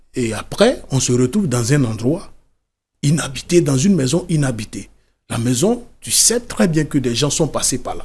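Somewhat breathy and fairly high-pitched, a man talks at a fairly slow pace with lively intonation. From Côte d'Ivoire. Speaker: author and former migrant worker; interview guest. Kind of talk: interview testimony. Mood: calm, serious recounting. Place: studio. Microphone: studio mic.

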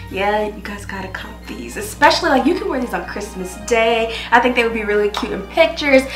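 A woman talking at a fairly quick pace with hardly any pauses and big swings in loudness, amid audible room echo and clear background music. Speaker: beauty vlogger. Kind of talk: casual vlog chat. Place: home room.

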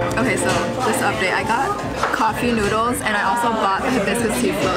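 Over loud music in the background, a woman talks at a fairly quick pace with ordinary pitch variation. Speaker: food vlogger. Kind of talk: casual vlog chat. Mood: cheerful, chatty. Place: cafe. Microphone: phone near.

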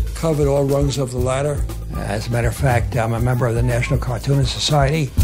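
A man talks at a fairly quick pace. Clear music sounds in the background. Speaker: artist, World War II veteran. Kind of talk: interview answer. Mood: warm, amused storytelling. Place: home room.

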